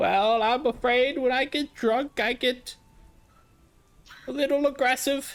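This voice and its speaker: In a put-on character voice, the speaker goes at a fairly slow pace with fairly even intonation, very even loudness, and long, frequent pauses. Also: man, extremely high pitch for a man. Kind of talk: old sailor dialect. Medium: actual play. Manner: rambling, gruff.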